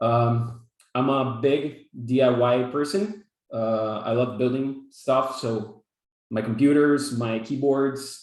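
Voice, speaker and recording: A man with a Brazilian Portuguese accent at a medium pitch, very slow, with ordinary pitch variation. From Brazil, São Paulo. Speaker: software developer, workshop instructor. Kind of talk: online workshop presentation. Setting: video call. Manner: halting, many fillers and repetitions.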